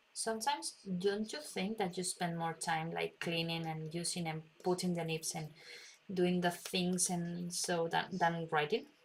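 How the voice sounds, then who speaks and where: A woman speaks with a Spanish accent at a fairly slow pace. Her voice is fairly low and somewhat breathy, with ordinary pitch variation. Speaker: calligraphy instructor. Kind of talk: live stream tutorial. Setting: live stream. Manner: halting.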